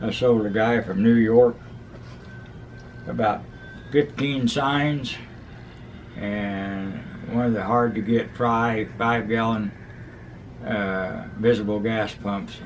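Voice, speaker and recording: Music plays behind a man speaking at medium pitch with fairly even intonation. He moves at a very slow pace, with long, frequent pauses. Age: 80s+. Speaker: market master and antiques dealer. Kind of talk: interview answer.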